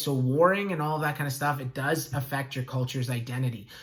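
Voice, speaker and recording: Delivered at a very fast pace with fairly even intonation, the speech carries audible room echo. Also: man. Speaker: school teacher. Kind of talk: lecture.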